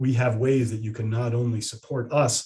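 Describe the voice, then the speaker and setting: A dark, mellow tone defines this voice. There's a somewhat breathy edge to it. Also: man. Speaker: estate planning attorney. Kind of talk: webinar presentation and Q&A. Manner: fast; repetitive stammering false starts.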